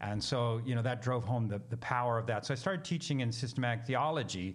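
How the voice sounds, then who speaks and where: A man speaks at a medium pitch in a normal speaking voice, with ordinary pitch variation. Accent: American. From US Pacific Northwest, Seattle. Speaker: missionary theologian and minister. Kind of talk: interview.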